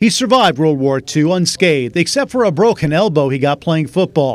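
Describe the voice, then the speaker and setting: Using lively intonation and a fairly high pitch, a man speaks in a plain, everyday voice in a very clean recording with a silent background. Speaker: TV news reporter. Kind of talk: news feature narration.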